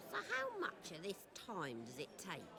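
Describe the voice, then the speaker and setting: A woman puts on a character voice at medium pitch and a moderate pace, with clear background noise behind her. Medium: video game. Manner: matter-of-fact.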